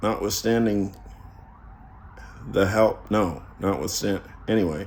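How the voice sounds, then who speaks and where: A man's fairly low-pitched voice at a very slow pace, with ordinary pitch variation and audible room echo. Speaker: YouTuber talking about philosophy. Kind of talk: casual monologue. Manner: halting.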